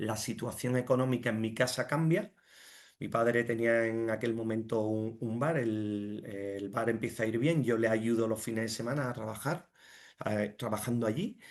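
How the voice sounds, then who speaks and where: With fairly even intonation, a man speaks at a moderate pace in a medium pitch. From Andalusia, Jerez de la Frontera. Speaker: finance director and entrepreneur. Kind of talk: interview. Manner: halting, many fillers and repetitions.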